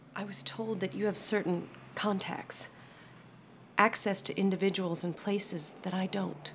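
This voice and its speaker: Woman with fairly even intonation at a moderate pace, with light background noise. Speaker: film actor playing a worried caretaker. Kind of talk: dramatic scene dialogue. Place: cafe.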